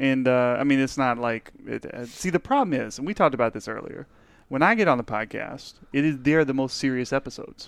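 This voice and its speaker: Against a quiet background, a man with an American accent and an unremarkable speaking voice talks at a fairly quick pace, with a medium pitch and ordinary pitch variation. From Texas. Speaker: guest, powerlifter. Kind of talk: casual banter podcast.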